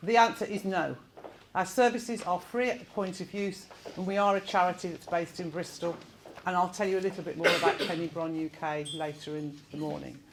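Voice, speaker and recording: With a Birmingham accent, a woman talks at a very fast pace in a medium pitch with lively intonation over noticeable background noise. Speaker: event facilitator. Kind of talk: presentation to audience. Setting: room with live audience. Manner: informal, with filler words.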